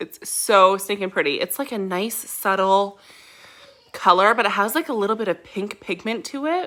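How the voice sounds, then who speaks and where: This voice is loud and animated, with a bright, sharp tone. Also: woman, medium pitch for a woman, ordinary pitch variation, moderate pace. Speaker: beauty product distributor. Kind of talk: makeup tutorial.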